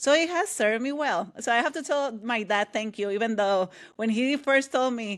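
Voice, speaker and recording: In a Puerto Rican accent, a woman speaks at a fairly quick pace with a fairly high pitch and ordinary pitch variation, on a very clean recording with a silent background. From Puerto Rico. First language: Spanish. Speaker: author and leadership coach. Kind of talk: interview conversation. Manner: loud, energetic.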